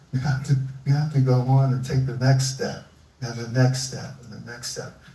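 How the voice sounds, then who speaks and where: A man with an American accent speaks at a moderate pace in a medium pitch, and audible room echo surrounds his voice. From US Northeast, Philadelphia. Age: 70s. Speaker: environmentalist. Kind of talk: live onstage interview.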